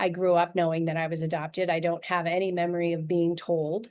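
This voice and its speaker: Against a quiet background, a woman with an American accent speaks at a medium pitch. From US Pacific Northwest, Yakima, Washington. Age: 60s. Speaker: author and adoptee. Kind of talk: podcast interview.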